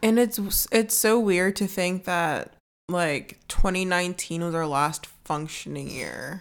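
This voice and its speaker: A woman at a fairly low pitch and a very slow pace, on a very clean recording with a silent background. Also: ordinary pitch variation. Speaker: podcast host. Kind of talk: casual chat.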